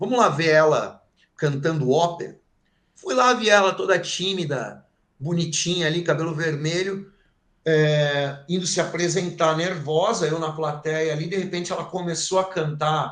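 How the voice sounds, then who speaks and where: A man talks fairly slowly in a high voice, showing ordinary pitch variation. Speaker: heavy metal band vocalist. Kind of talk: interview. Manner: animated.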